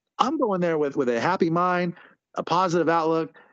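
An unremarkable speaking voice moves at a fairly quick pace in a dry, close sound with no echo. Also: man. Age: 30s. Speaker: lingerie fighting team coach. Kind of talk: casual chat.

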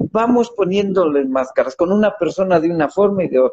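With lively intonation and a moderate pace, a man's high-pitched, dark, mellow voice comes through in a dry, close sound with no echo. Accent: Mexican. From Mexico. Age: 60s. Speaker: author and motivational speaker. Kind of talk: interview about his book.

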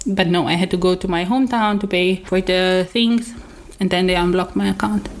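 A woman's medium-pitched voice, a normal speaking voice, at a fairly quick pace with fairly even intonation. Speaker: podcast host. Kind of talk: casual chat.

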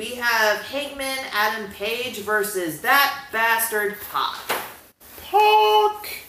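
A woman's fairly high voice at a very slow pace, ordinary pitch variation and big swings in loudness, over noticeable background noise. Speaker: wrestling podcast co-host. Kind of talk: casual chat.

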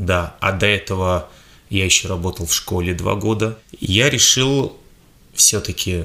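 The tone is bright and sharp, the pace fairly slow, the pitch variation ordinary, and the pauses long and frequent. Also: man, fairly low pitch for a man. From Russia, Tomsk. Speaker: fitness trainer. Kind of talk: interview.

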